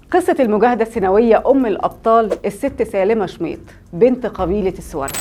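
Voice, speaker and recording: A woman with an Egyptian accent, fairly high in pitch, with a dark, mellow tone, lively intonation, and a moderate pace. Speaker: history storyteller host. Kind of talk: history storytelling to camera. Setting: studio.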